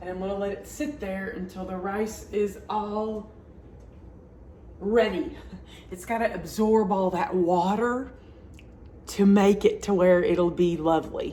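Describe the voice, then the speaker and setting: Loudness swings a lot, and the pace is fairly slow. Long, frequent pauses stand out amid audible room echo. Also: woman. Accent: Southern US. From US South, Alabama. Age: 50s. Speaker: home cooking channel host. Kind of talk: cooking tutorial. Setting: home kitchen. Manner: casual, chatty with filler words.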